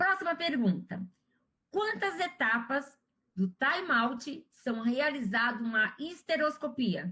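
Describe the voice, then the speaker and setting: Raising and projecting a high, bright, sharp voice, a woman speaks very slowly with very wide pitch swings and very even loudness. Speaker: surgical instrumentation instructor. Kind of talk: live quiz class.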